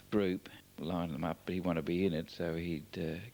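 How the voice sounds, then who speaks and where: This man's very deep, low voice carries vocal fry and fairly even intonation. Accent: Australian. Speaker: family member narrating home movies. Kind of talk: oral history commentary. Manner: hesitant, many fillers.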